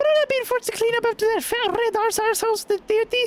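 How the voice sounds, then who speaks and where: A man puts on a squeaky character voice at an extremely high pitch. He races along at a very fast pace. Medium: game stream. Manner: slangy, casual.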